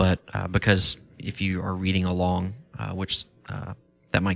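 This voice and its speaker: A man's very deep, low voice with music in the background. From Kentucky. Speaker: pastor, podcast panelist. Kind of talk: panel discussion.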